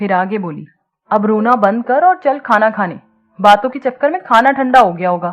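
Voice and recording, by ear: A quiet backdrop behind someone reading aloud in a natural voice.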